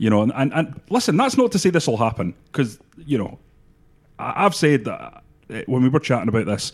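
This man has a normal speaking voice at a medium pitch. His intonation is lively. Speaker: football pundit. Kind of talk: sports podcast discussion.

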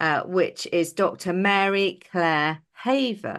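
A woman speaks very slowly with an English accent and lively intonation. Her pitch is medium, and the background is quiet. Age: 50s. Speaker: podcast co-host. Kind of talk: casual chat.

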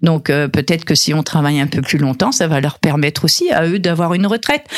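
A woman's fairly low-pitched voice at a fairly quick pace, with very even loudness. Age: 60s. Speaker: business owner and fashion designer. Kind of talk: radio interview. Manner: halting, many repetitions.

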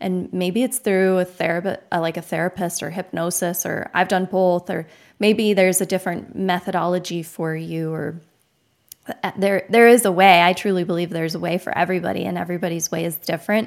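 Intonation stays fairly even throughout. The woman speaks fairly quickly. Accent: American. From Arizona, US. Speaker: podcast host. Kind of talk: casual interview chat. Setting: video call.

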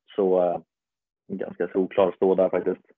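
Here a man talks at a moderate pace. His pitch is very deep and low. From Sweden, Stockholm area (Botkyrka). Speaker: podcast co-host, floorball player. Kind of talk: casual chat. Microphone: poor audio, slightly improved.

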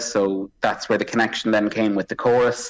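Speaking fairly quickly with an Irish accent, a man keeps a medium pitch and a monotone, flat intonation. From Drogheda, Ireland. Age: 30s. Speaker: opera singer. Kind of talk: interview. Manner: halting.

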